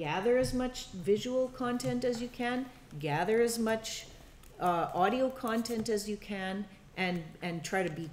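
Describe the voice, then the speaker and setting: A woman speaks loudly. Noticeable background noise can be heard. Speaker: documentary filmmaking workshop instructor. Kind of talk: workshop teaching. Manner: halting, many fillers.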